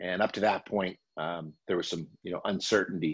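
The pace is moderate and the pitch variation ordinary. Behind the voice, the background stays quiet. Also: man. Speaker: college basketball TV analyst. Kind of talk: interview answer. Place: home room. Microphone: video call.

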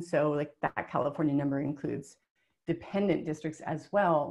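Over a quiet background, a woman talks at a moderate pace with an American accent. Hers is a normal speaking voice with fairly even intonation. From US small town. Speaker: webinar presenter. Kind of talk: webinar presentation. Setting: webinar. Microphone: webcam.

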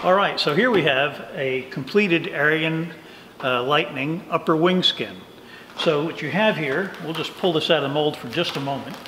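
At a moderate pace and with ordinary pitch variation, a man speaks over noticeable background noise. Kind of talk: tour explanation. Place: workshop.

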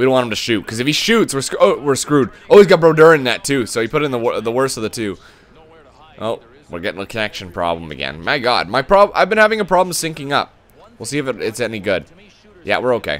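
Speaking at a very fast pace, a man with a medium pitch and vocal fry makes very wide pitch swings. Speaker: gaming video creator. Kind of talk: live gameplay commentary. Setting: recording while playing online. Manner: animated.

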